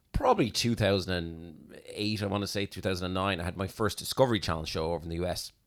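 A very deep, low male voice with an Irish accent, fairly quick with ordinary pitch variation, on a very clean recording with a silent background. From Ireland. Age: 40s. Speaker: hypnotist. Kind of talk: casual chat.

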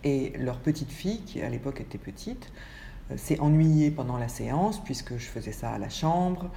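A woman's very deep, low voice with lively intonation at a moderate pace, in audible room echo. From France, Paris. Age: 50s. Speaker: photographer. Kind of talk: interview. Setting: at her home. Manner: hesitant, many fillers.

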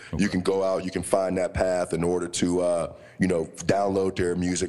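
With an American accent, a man talks at a moderate pace. His pitch is very deep and low. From Pittsburgh, Pennsylvania. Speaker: podcast co-host. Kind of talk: casual chat.

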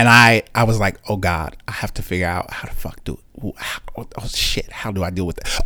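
A man with an American accent speaks at a moderate pace in a medium pitch. He has a plain, everyday voice. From Chicago, US Midwest. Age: 30s. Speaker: pastor. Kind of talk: casual chat.

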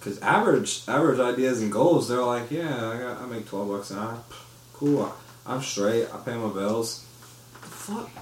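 Audible room echo and noticeable background noise surround a man talking at a moderate pace in a medium pitch with ordinary pitch variation. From Florida, Orlando. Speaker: podcast co-host. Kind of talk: casual chat.

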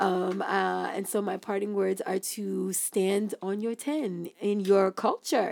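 This is a woman speaking with a New York accent. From Brooklyn, New York, Haitian family. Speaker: podcast co-host. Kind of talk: casual chat.

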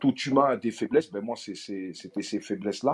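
With a dark, mellow tone, this man speaks with ordinary pitch variation. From France, Paris suburbs (Aulnay-sous-Bois). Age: 40s. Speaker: actor. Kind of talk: interview. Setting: audio app live room.

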